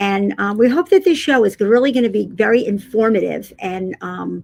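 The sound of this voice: A woman at medium pitch talks at a moderate pace with ordinary pitch variation, vocal fry and a slightly mellow tone.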